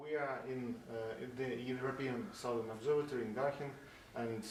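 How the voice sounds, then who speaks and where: Over noticeable background noise, the speaker keeps a moderate pace and fairly even intonation. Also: man. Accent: Russian. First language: Russian. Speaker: science blogger and interviewer. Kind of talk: interview question.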